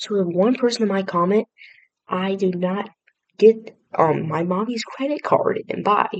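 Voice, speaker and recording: A woman speaks at a fairly slow pace, her pitch medium. She has an unremarkable speaking voice. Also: ordinary pitch variation. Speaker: reaction video creator. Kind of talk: casual reaction commentary.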